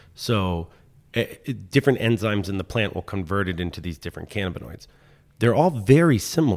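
A man with a normal speaking voice and an American accent, at a fairly low pitch and a moderate pace with lively intonation, in a very clean recording with a silent background. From Washington DC. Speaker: mechanical engineer and manufacturing business owner. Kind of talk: interview.

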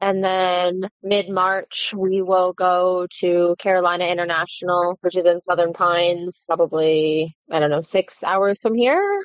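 Speaking with an American accent, a woman with a fairly low pitch talks at a fairly slow pace with hardly any pauses, in a monotone, flat intonation at very even loudness. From Maryland. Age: 20s. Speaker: horse trainer. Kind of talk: interview. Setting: phone call.

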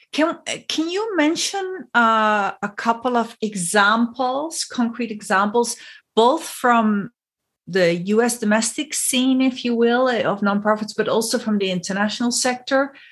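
Lively intonation marks a woman's speech at a fairly slow pace. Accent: non-native. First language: not English. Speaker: podcast host and consultant. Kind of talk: interview.

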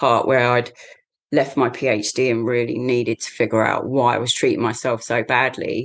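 In an English accent, a woman with a very deep, low pitch speaks in a flat monotone at a moderate pace against a quiet background. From England, the shires. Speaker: Tai Chi teacher and mental health support worker. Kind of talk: casual interview.

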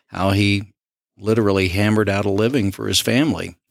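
A man's fairly low voice with a Southern US accent and fairly even intonation, in a very clean recording against a silent background. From Southwest Arkansas. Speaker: county commissioner. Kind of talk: interview.

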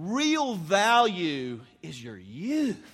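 This man's voice is high, with very wide pitch swings. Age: 40s. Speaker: pastor. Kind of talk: sermon.

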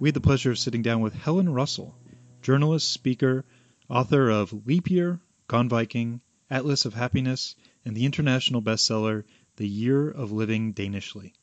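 A man with an ordinary speaking voice talks at a fairly quick pace with medium pitch and ordinary pitch variation. The sound is dry and close with no echo over a quiet background. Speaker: podcast co-host. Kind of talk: interview conversation.

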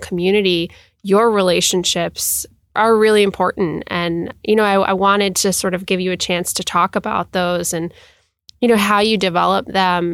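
Her intonation is fairly even and her pace moderate. A woman talks in a normal speaking voice. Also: very clean recording, silent background. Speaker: podcast host. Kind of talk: interview.

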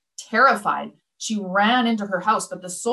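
Over a quiet background, an unforced reading voice can be heard.

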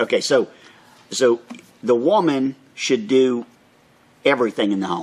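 A man talks at a moderate pace in an American accent, his pitch medium and his intonation lively. He leaves long, frequent pauses. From Florida, Orlando. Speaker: local podcast co-host. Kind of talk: casual chat.

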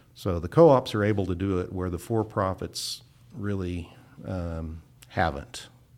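Speaking fairly slowly with an American accent, a man with a very deep, low pitch shows ordinary pitch variation. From Kansas. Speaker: utility association executive. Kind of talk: interview.

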